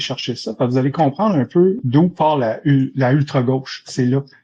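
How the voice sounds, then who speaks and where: A man with a Quebec accent and a fairly high pitch rushes at a very fast pace with hardly any pauses, using ordinary pitch variation in a dark, mellow tone. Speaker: debate participant. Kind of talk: live debate.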